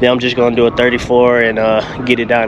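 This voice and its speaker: The speech moves at a fairly quick pace, with a dry sound with no echo and noticeable background noise. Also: man. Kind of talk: casual vlog chat. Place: street. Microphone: phone near.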